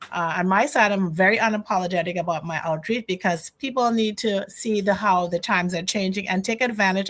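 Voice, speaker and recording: In a Trinidadian accent, a woman speaks at medium pitch and a fairly quick pace with ordinary pitch variation. The recording is very clean, with a silent background. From Trinidad and Tobago. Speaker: financial educator. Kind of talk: interview conversation.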